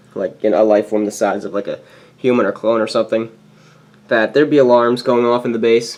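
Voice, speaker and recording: A man talks at a very fast pace. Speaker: toy building youtuber. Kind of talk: casual show-and-tell walkthrough. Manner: casual, many fillers.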